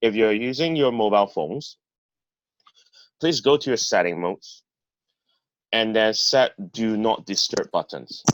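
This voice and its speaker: With lively intonation, a man speaks at a fairly slow pace, leaving long, frequent pauses, in a dry, close sound with no echo. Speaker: public speaking trainer. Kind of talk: training talk. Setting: video call.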